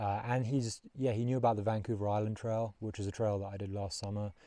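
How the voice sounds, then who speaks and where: A man's fairly low, dark, mellow voice with a London accent, relaxed in tone and fairly quick, with fairly even intonation over a quiet background. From London, England. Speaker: long-distance hiker vlogger. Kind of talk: casual vlog narration. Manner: relaxed, with many fillers.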